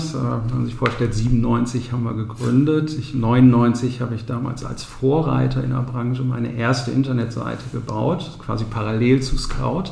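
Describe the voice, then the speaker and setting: With noticeable background noise and audible room echo, a man of medium pitch speaks at a moderate pace with fairly even intonation. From Ostwestfalen, Bünde. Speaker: real estate agent and company founder. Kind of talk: interview.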